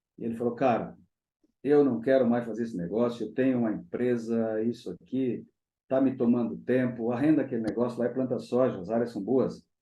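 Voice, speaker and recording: A man's medium-pitched voice at a fairly quick clip. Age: 60s. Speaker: agronomist and management consultant. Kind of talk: interview. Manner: animated.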